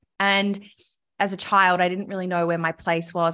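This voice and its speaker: Bright and sharp in tone, a woman with an Australian accent speaks at a fairly low pitch and a moderate pace, her intonation monotone and flat. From Australia, Melbourne. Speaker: podcast host and recovery advocate. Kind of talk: casual interview, personal story.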